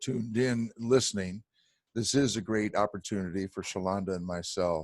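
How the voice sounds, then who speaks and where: A man with a fairly low pitch talks at a moderate pace in an ordinary speaking voice. The recording is very clean, with a silent background. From St. Louis County, Missouri. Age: 60s. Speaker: political candidate. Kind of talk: debate forum.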